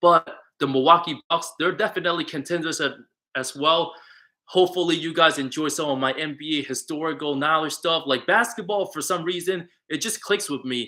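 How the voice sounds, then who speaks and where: A bright, sharp tone comes with ordinary pitch variation. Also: man. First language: not English. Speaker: sports YouTuber. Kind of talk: livestream commentary with chat. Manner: casual.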